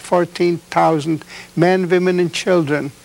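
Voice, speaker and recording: Over noticeable background noise, a man with a high pitch talks at a fairly slow pace in a monotone, flat intonation. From Czechoslovakia. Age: 70s. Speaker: Holocaust survivor. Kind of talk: testimony. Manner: halting.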